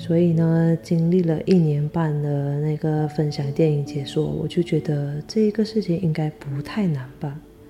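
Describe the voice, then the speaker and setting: With music in the background, a woman speaks quietly at a very deep, low pitch, with fairly even intonation and a fairly slow pace. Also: hardly any pauses. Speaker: podcaster. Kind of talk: casual solo monologue. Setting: alone at home late at night. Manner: quiet, subdued.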